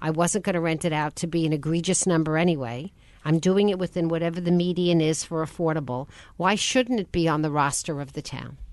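This woman has a plain, everyday voice, fairly low in pitch, with ordinary pitch variation and a fairly quick pace over a quiet background. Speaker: radio host. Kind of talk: radio interview. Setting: studio.

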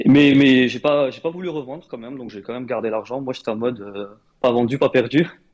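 At a fairly quick pace, a man with a plain, everyday voice and medium pitch talks with ordinary pitch variation and big swings in loudness. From Morocco. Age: 20s. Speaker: engineer and crypto investor. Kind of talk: interview.

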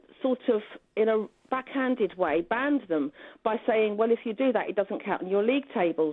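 A woman talks at a fairly quick pace in a plain, everyday voice. Her pitch is fairly high and her intonation lively. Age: 50s. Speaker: education expert, former teacher. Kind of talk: radio interview.

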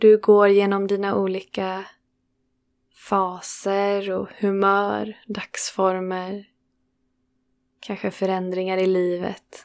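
Speaking at a very slow pace with long, frequent pauses, a woman uses a medium pitch, monotone, flat intonation and a soothing, calm tone on a very clean recording with a silent background. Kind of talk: guided meditation. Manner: slow, soothing, calm with long pauses; gentle, warm, unhurried.

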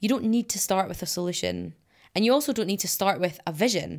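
A woman with a Scottish accent at a fairly quick pace, on a very clean recording with a silent background. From Scotland. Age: 20s. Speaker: climate activist and environmental scientist. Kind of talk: interview.

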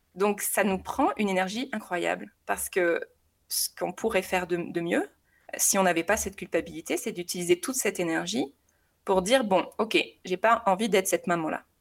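A woman talks at a moderate pace with vocal fry. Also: medium pitch for a woman, ordinary pitch variation, very clean recording, silent background. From southern France. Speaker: mother sharing experience. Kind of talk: casual interview testimony. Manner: hesitant, many repetitions.

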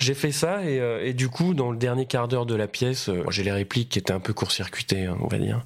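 The loudness stays very even. Speech moves at a fairly quick pace with lively intonation. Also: man, medium pitch for a man. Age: 30s. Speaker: stage actor. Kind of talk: casual interview chat. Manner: halting, many fillers.

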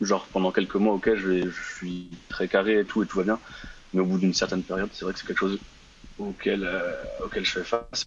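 With noticeable background noise, a man speaks at a moderate pace in a very deep, low voice. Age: 20s. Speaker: caller. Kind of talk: casual chat. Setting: live call-in on Instagram. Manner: halting.

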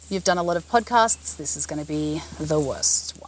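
In a playful tone, a woman speaks. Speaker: podcast host. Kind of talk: casual chat. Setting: outdoors. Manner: playful, giggly.

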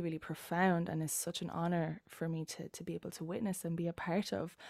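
A woman speaks with an Irish accent at a moderate pace. The sound is dry and close with no echo, on a very clean recording with a silent background. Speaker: embodiment coach. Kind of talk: casual chat.

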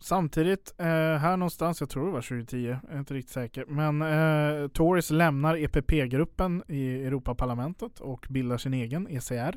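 A man with a normal speaking voice talks at a moderate pace with hardly any pauses. His pitch is fairly high, with ordinary pitch variation. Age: 20s. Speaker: podcast co-host. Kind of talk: casual political discussion. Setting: studio.

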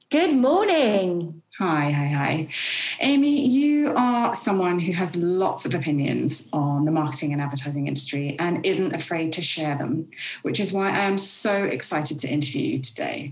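A woman with fairly low pitch and very wide pitch swings, in a warm, enthusiastic tone at a moderate pace, amid noticeable background noise. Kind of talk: interview.

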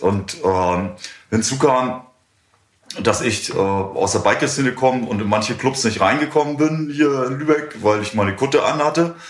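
A man's medium-pitched voice with lively intonation at a fairly slow pace, audible room echo around it. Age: 60s. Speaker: music club owner. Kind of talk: interview. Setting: in a bar.

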